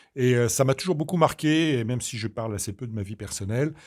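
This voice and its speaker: On a very clean recording with a silent background, a man in a normal speaking voice talks at a medium pitch with ordinary pitch variation. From Normandy, Caen (Calvados). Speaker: doctor and regional politician. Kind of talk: interview.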